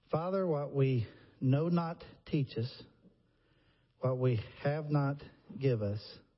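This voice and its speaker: A man's somewhat breathy, fairly high voice with an American accent, very slow with long, frequent pauses and ordinary pitch variation. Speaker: preacher. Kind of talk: sermon. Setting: church.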